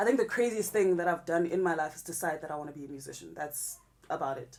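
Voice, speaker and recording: A woman's fairly low voice, very fast, with lively intonation. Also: big swings in loudness. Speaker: rapper. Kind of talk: interview. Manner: loud.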